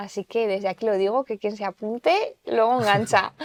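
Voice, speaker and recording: Recorded very cleanly against a silent background, dry and close with no echo, a woman speaks in a normal speaking voice at a fairly high pitch, moderate pace, and fairly even intonation. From Aragon, Zaragoza. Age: 30s. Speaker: TV presenter and language promoter. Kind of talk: podcast interview.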